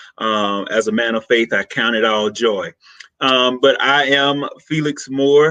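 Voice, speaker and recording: A man with a Southern US accent speaks at a fairly slow pace in a medium pitch, his tone energetic and his pitch variation ordinary. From US South, rural Mississippi. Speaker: social worker. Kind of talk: podcast interview.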